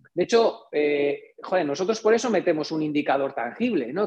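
A man talking fairly quickly, with very wide pitch swings. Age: 40s. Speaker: engineer and entrepreneur. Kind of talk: interview.

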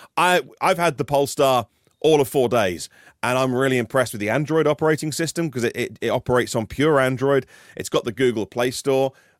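A man's medium-pitched voice, dry and close with no echo, at a fairly quick pace with ordinary pitch variation, on a very clean recording with a silent background. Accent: British. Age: 40s. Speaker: EV news podcaster. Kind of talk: casual chat.

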